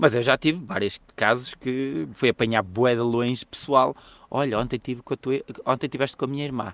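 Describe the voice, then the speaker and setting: A man with a European Portuguese accent at a medium pitch and moderate pace, ordinary pitch variation, a dry, close sound with no echo and a very clean recording with a silent background. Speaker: podcast co-host. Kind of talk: casual chat.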